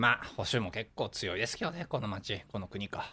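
The recording is very clean, its background silent. A man's voice comes through with a bright, sharp tone. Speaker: podcast host. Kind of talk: casual chat.

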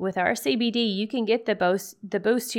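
A woman talks at a moderate pace in an ordinary speaking voice with ordinary pitch variation, on a very clean recording with a silent background. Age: 40s. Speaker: podcast host, midwife and hemp farmer. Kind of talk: casual monologue podcast.

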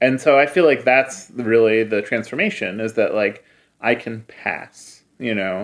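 A man with an American accent and an ordinary speaking voice, medium-pitched with ordinary pitch variation, at a fairly slow pace against a quiet background. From US Midwest, Cleveland. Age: 30s. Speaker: publisher and filmmaker. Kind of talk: interview conversation.

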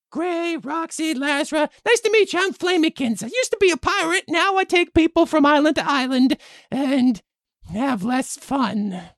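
Over a quiet background, a high-pitched, put-on character voice speaks at a moderate pace. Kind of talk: comic improv. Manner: casual, laid-back, slightly jaded.

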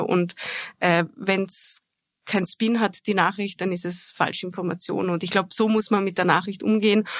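A woman of medium pitch speaks in a monotone, flat way at a moderate pace, in a dry, close sound with no echo on a very clean recording with a silent background. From Austria, Vorarlberg. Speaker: foreign correspondent. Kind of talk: interview. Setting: studio.

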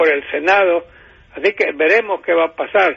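High-pitched man at a moderate pace, with fairly even intonation. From Honduras, San Pedro Sula. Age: 80s+. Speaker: news commentator. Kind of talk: casual news commentary.

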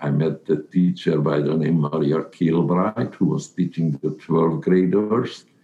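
Over noticeable background noise, a man with a very deep, low pitch talks at a fairly slow pace with hardly any pauses, ordinary pitch variation and very even loudness. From Carpathian Ruthenia (Czechoslovakia/Hungary). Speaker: Holocaust survivor. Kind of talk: testimony. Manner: halting.

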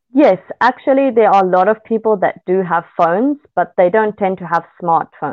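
Speaking at a moderate pace, a woman talks with an Australian accent. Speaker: social development worker. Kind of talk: interview. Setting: remote call.

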